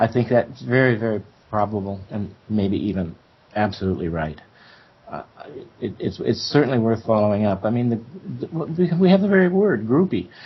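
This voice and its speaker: A man with an American accent talks at a moderate pace in a medium pitch. His pitch swings very widely. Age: 70s. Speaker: professor. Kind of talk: interview discussion. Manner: halting.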